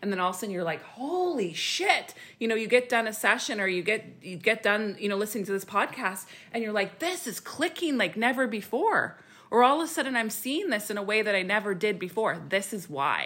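A woman speaks at a fairly quick pace in an unremarkable speaking voice. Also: fairly high pitch for a woman, lively intonation. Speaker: spiritual healer and podcast host. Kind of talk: casual chat about spirituality.

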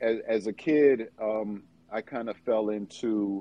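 At a very slow pace, a man talks in a fairly low pitch with fairly even intonation. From New York. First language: not English. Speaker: performance coach. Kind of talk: interview. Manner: halting, many repetitions.

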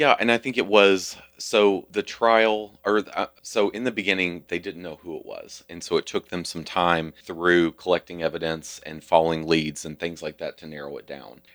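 A man with a Kentucky accent and a very deep, low pitch speaks at a moderate pace with hardly any pauses, ordinary pitch variation and big swings in loudness, on a very clean recording with a silent background and a dry, close sound with no echo. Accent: Southern US (Kentucky). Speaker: Pride leader and former hair industry professional. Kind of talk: casual interview conversation.

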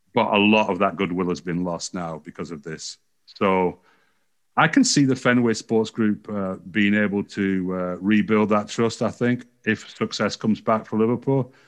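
A man with an English accent, fairly low in pitch, with ordinary pitch variation, a moderate pace and a quiet background. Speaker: sports journalist. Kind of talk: podcast interview.

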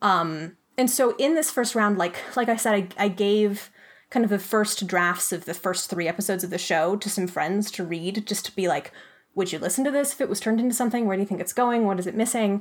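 Here a woman with an American accent uses an ordinary speaking voice at a medium pitch. She talks at a fairly quick pace with ordinary pitch variation. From Flagstaff, Arizona. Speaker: audio drama creator and writer. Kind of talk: casual interview.

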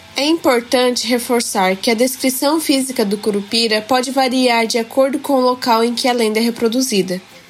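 A woman with a high pitch talks at a moderate pace with hardly any pauses. Her intonation stays fairly even and her loudness very even, with music in the background. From Japan. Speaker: student podcaster. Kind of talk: scripted narration. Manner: formal.

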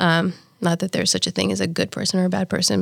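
The voice has vocal fry and lively intonation and moves at a very fast pace. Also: woman. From Kenya (Nairobi). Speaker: teacher educator. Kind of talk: casual chat.

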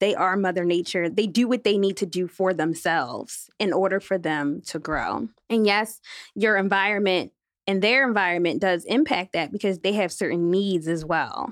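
Over a quiet background, a woman with an American accent talks at a moderate pace. Her pitch is medium, with ordinary pitch variation. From Philadelphia, Germantown. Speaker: urban farmer. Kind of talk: interview.

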